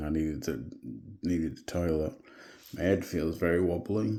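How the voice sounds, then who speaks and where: Quietly, a man with an English accent speaks in a very deep, low voice with ordinary pitch variation. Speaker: vlogger. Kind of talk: video diary. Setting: at home at night. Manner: quiet, hushed.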